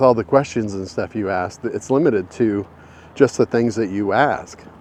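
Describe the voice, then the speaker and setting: A man's medium-pitched voice with ordinary pitch variation, over noticeable background noise. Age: 60s. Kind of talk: casual talk to camera while walking. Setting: outdoors.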